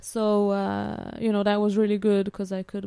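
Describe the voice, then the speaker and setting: A woman with an Italian-Swiss accent speaks in a dark, mellow tone. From Switzerland (Italian-speaking). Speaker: student and former au pair. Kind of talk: casual interview.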